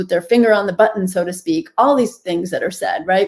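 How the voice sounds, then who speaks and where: Speaking at a fairly quick pace with an American accent, a woman has a plain, everyday voice of medium pitch. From US Northeast. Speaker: physician and author. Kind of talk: interview. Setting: video call.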